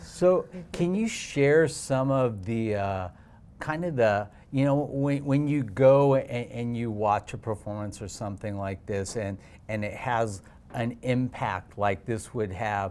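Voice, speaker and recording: A man's medium-pitched, plain, everyday voice at a fairly slow pace, with ordinary pitch variation, in a very clean recording with a silent background. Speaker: interview host. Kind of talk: casual talk to camera.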